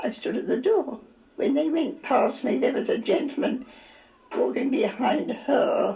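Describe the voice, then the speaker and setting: At a moderate pace, a woman with a high voice swings very widely in pitch amid noticeable background noise. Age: 90s. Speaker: retired singer. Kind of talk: interview. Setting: care home. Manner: halting.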